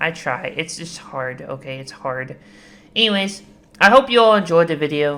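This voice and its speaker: In a bright, sharp tone, a woman with a fairly low pitch speaks at a moderate pace, her pitch swinging very widely and her loudness rising and falling sharply. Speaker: gaming YouTuber. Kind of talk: casual commentary. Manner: animated; voice pitch inconsistent.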